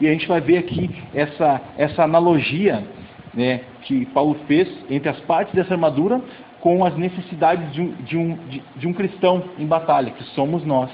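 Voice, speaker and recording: A high-pitched man at a moderate pace with ordinary pitch variation, noticeable background noise behind him. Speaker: youth pastor. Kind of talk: sermon.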